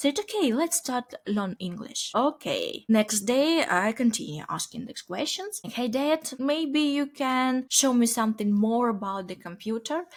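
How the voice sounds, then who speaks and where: Fairly slow, almost pause-free speech in a Ukrainian accent, with very wide pitch swings. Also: woman, high pitch for a woman. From Ukraine. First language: Ukrainian or Russian. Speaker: software company founder. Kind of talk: interview. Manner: halting.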